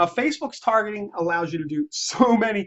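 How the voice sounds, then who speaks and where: Lively intonation colors the woman's speech. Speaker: real estate agent. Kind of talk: tutorial. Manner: halting; casual.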